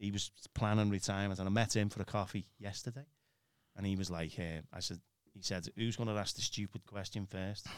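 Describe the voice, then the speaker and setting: A man with a British accent speaks at a fairly quick pace and fairly low pitch on a very clean recording with a silent background. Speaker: church minister. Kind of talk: casual conversation.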